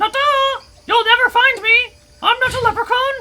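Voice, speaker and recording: A put-on character voice at an extremely high pitch, with monotone, flat intonation and a fairly quick pace. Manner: taunting, mocking.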